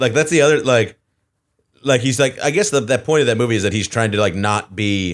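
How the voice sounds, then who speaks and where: A man with an American accent talks at a fairly quick pace in a normal speaking voice at medium pitch, captured in a very clean recording with a silent background. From Texas. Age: 30s. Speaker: comedian podcast co-host. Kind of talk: casual chat.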